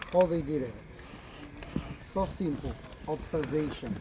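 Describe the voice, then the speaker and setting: The pace here is fairly slow, with ordinary pitch variation. Noticeable background noise runs underneath. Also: man. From Yucatán, Mexico (Mayan community). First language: Mayan (Yucatec). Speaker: tour guide. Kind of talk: guided tour talk. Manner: animated.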